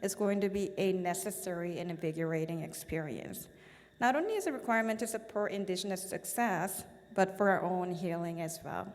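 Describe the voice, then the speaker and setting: A woman speaks in a Korean accent at a fairly quick pace. Her pitch varies in an ordinary way, and audible room echo is present. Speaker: business association board chair. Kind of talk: formal speech. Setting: stage at event with audience.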